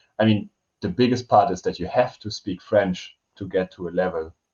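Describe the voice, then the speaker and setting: Somewhat breathy, a man with a German accent talks at a moderate pace and a fairly low pitch with ordinary pitch variation. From Germany. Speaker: language teacher and podcast co-host. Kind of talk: casual chat. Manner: hesitant.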